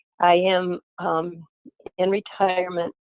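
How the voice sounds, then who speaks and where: Music plays behind the speaker. She is a woman with a medium pitch. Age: 70s. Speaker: retired early childhood teacher sharing in a circle call. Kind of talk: sharing circle testimony.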